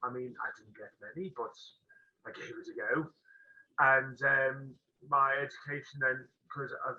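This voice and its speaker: A man with a Potteries accent, fairly slow and broken by long, frequent pauses, his loudness swinging widely. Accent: Potteries (Stoke) English. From Stoke-on-Trent, England. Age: 30s. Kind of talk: interview. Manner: halting, many fillers.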